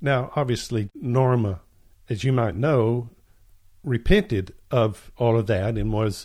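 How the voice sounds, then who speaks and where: On a very clean recording with a silent background, a man speaks at a fairly slow pace in a somewhat breathy voice, with a medium pitch and ordinary pitch variation. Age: 60s. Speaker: podcast Bible teacher. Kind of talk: religious teaching monologue.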